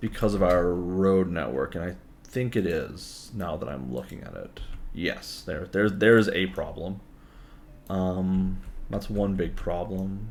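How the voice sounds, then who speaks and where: The man talks at a fairly slow pace. His pitch is very deep and low. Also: ordinary pitch variation. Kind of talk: casual gaming commentary.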